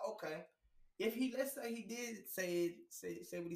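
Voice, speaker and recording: This is a man speaking. He has an American accent. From Houston, Texas. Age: 40s. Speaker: podcast co-host. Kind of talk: casual chat.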